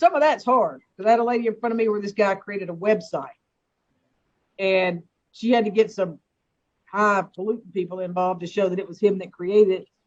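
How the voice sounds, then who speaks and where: The speaker talks with an American accent at a fairly quick pace. Long pauses come often. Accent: Southern US accent, noticeable to others. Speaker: judge. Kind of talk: court hearing.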